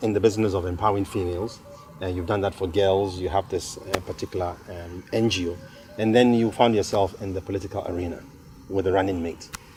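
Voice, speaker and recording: A man with a fairly low voice talks while music plays in the background. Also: big swings in loudness. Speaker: interviewer. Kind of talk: interview. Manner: fast.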